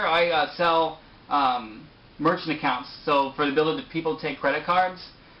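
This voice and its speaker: Noticeable background noise accompanies a man whose fairly high pitch shows ordinary variation as he moves at a fairly quick pace. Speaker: sales manager and aspiring actor. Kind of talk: interview. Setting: video call. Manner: fast.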